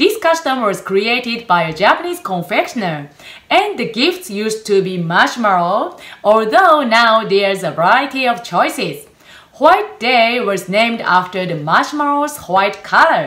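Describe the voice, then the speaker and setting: A woman talks at a fairly slow pace. Her tone is bright and sharp. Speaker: cooking show host. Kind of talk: tutorial. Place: kitchen. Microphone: camera far.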